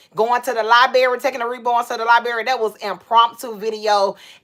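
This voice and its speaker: With a bright, sharp tone, a woman speaks fairly high in pitch at a fairly quick pace. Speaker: doll collector livestreamer. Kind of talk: casual livestream chat. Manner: loud; animated.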